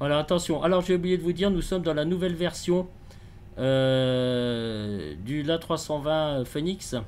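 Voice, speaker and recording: Noticeable background noise sits under this man's voice. He speaks at a fairly slow pace with a fairly high pitch for a man and ordinary pitch variation. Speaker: flight simulator gamer. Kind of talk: gameplay commentary. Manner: halting, many hesitations.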